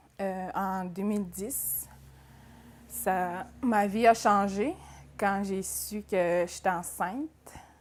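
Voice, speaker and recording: Speaking at a very slow pace in a Quebec accent, a woman keeps a medium pitch and fairly even intonation. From Atikamekw community, central Quebec. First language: Atikamekw (speaking French). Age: 20s. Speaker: adult education student. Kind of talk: personal testimony interview. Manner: hesitant, with fillers and repetitions.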